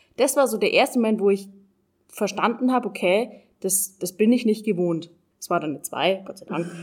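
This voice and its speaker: This woman has an unremarkable speaking voice, medium in pitch, with ordinary pitch variation, a fairly quick pace and big swings in loudness. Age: 20s. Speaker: trainee educator. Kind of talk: interview.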